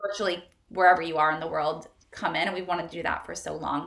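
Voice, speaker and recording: The voice belongs to a woman. The room adds audible echo. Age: 30s. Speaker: wellness entrepreneur. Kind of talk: casual chat.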